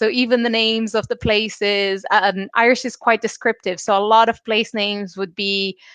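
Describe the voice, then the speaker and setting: A woman's fairly high, flat, monotone voice in a Portuguese accent, at a moderate pace with hardly any pauses, dry and close with no echo, over a quiet background. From Brazil. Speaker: illustrator and Irish language learner. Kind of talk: interview.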